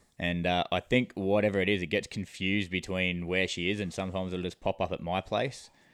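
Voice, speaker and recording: This man's pitch is very deep and low, and his intonation is monotone and flat. He talks at a fairly quick pace with hardly any pauses. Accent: Australian. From New South Wales, Australia. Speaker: coach. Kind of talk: storytelling.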